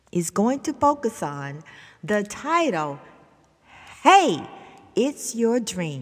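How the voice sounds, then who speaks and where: Recorded very cleanly against a silent background, a woman speaks with a Southern US accent. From US South. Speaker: motivational podcast host. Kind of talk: motivational talk. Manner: animated.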